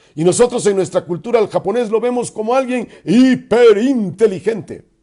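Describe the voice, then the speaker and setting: A man speaks with music playing in the background. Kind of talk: religious radio talk.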